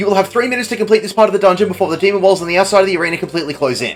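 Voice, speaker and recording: A man with a high pitch speaks against noticeable background noise. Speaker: game guide narrator. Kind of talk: video game tutorial narration. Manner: fast.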